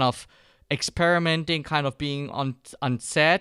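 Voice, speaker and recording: A man talks at a fairly slow pace with a fairly high pitch. His pitch variation is ordinary, and the sound is dry and close with no echo. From Germany. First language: German. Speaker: filmmaking course instructor. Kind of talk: online course lecture. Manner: hesitant, many fillers.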